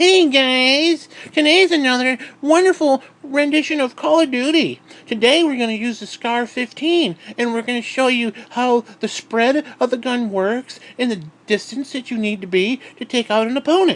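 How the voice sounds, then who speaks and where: A female-sounding voice puts on a character voice with a high pitch. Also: moderate pace. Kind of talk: streamer patter. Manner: nerdy, mocking, overly chipper.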